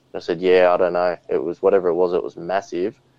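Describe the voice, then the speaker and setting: A man with an Australian accent talks in a dry, close sound with no echo. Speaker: podcast host and bigfoot witness. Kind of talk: casual interview chat. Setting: video call.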